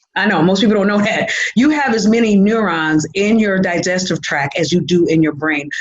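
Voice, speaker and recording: Speaking at a fairly quick pace, a woman with a medium pitch uses lively intonation and very even loudness, with audible room echo and noticeable background noise. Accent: American. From Michigan. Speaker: nutritionist. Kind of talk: casual interview. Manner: fast when excited.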